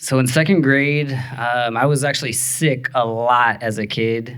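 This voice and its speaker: A man with an American accent in a normal speaking voice, medium pitch, fairly slow pace and fairly even intonation. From Texas. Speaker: storyteller and improv teacher. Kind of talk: live personal storytelling performance. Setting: live stage. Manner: casual, conversational with fillers.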